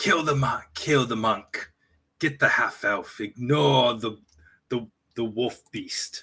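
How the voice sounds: A raspy put-on character voice with ordinary pitch variation, at a fairly slow pace. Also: man, medium pitch for a man.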